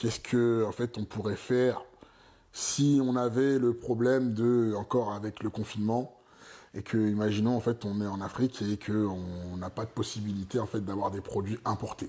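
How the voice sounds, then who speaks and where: A man's fairly low, dark, mellow voice at a moderate pace with fairly even intonation. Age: 30s. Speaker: entrepreneur opening a vegan pastry shop. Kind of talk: casual interview. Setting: at his home. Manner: hesitant, many fillers.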